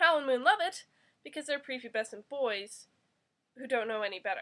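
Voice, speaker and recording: Projected and raised, a woman's high voice moves at a moderate pace with lively intonation. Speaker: book reviewer. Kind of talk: book review read from notes to camera.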